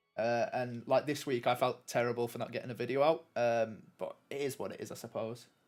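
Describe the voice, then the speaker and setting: In a northern English accent, a man talks at a moderate pace with fairly even intonation, and the recording is very clean with a silent background. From northern England. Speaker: gaming streamer. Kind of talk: live gameplay commentary. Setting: live stream. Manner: casual, hesitant with many fillers.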